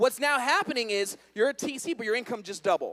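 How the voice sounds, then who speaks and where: Speaking at a very fast pace in an animated tone, a man makes very wide pitch swings, and the sound is dry and close with no echo. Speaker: network marketing trainer. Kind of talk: motivational seminar talk.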